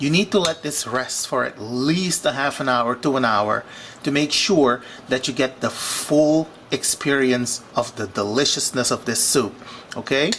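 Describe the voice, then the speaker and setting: Against noticeable background noise, a man speaks at a medium pitch and a fairly slow pace with ordinary pitch variation. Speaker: cooking vlogger. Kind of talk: cooking tutorial. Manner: animated.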